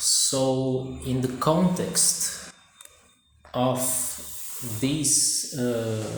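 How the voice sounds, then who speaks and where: A man's medium-pitched voice with a Brazilian accent, plus audible room echo. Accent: non-native English, Brazilian. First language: Portuguese. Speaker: amateur vlogger. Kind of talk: casual monologue vlog. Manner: halting, many fillers.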